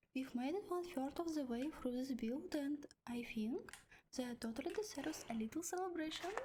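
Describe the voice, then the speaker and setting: A woman with a non-native accent, a high pitch, a gentle yet dark, mellow tone, and lively intonation. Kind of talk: ASMR talking, build-along. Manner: soft, gentle, cozy.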